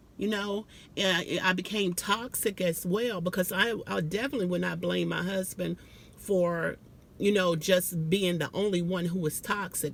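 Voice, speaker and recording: A woman with an American accent speaks at a moderate pace. Her voice is medium in pitch, with vocal fry. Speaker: vlogger. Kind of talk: casual monologue. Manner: halting.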